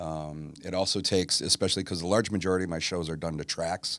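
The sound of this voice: Fairly even intonation and a fairly bright tone at a fairly quick pace, in a very clean recording with a silent background. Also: man, low pitch for a man.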